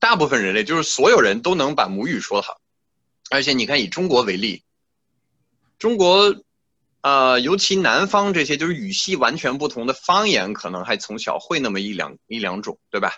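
A man's fairly high voice with vocal fry and very wide pitch swings at a moderate pace. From France. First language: French (speaking Chinese). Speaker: classical musician. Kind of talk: interview. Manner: halting, many fillers.

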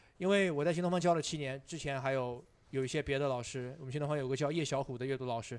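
Very fast speech from a man with a fairly high pitch and ordinary pitch variation. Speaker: English teacher and stand-up comedian. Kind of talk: casual chat.

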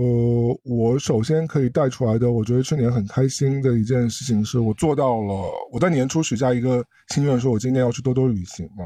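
A dark, mellow tone runs at a fairly quick pace with ordinary pitch variation and hardly any pauses. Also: man, medium pitch for a man. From Shanghai, China. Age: middle-aged. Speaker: podcast co-host. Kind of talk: casual chat.

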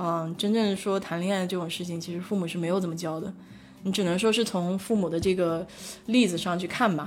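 A woman at a medium pitch and a fairly quick pace, with fairly even intonation and audible room echo. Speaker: livestream host. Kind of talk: casual chat. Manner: hesitant, many filler sounds.

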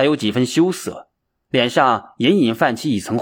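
Lively intonation and an unforced reading voice against a quiet background

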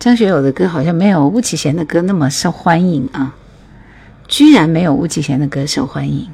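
A woman speaks with a fairly low pitch and a dark, mellow tone. Her voice is somewhat breathy, and her intonation is lively. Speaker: radio DJ hosting a music livestream. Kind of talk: casual livestream chat between songs. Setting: online livestream.

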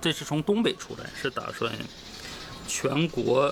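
Over noticeable background noise, a man with a Northeastern Chinese accent speaks very slowly at a fairly high pitch with lively intonation. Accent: Northeastern Mandarin. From Northeast China. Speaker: stand-up comedian. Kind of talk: casual chat. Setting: in Hangzhou near West Lake.

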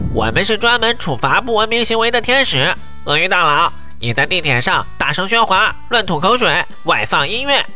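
A man talks at a moderate pace in a nasal, put-on character voice. Music is clearly heard in the background. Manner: mischievous, mock-authoritative.

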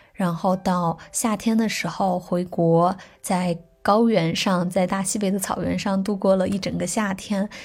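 A somewhat breathy voice at a fairly slow pace, with monotone, flat intonation. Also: woman, medium pitch for a woman. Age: 20s. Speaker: musician and travel blogger. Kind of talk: personal year-in-review monologue.

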